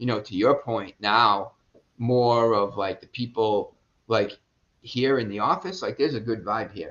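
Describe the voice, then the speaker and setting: A man with a Boston accent talks at a fairly quick pace. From Boston, Massachusetts. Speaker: real estate investor and business owner. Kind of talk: podcast interview answer. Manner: casual, profane.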